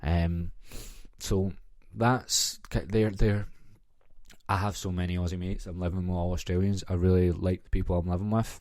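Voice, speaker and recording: A man speaks with a very deep, low pitch and a dark, mellow tone in a Glaswegian accent. The recording is very clean, with a silent background. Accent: Glaswegian Scottish. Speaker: podcast host. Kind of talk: casual solo podcast chat. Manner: animated storytelling.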